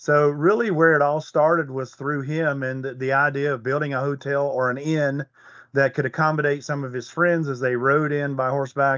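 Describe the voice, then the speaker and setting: A man with an American accent and a normal speaking voice, fairly high pitch, fairly even intonation, and a moderate pace. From Virginia (Allegheny Mountains, Hot Springs area). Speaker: golf resort director of golf. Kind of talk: casual interview.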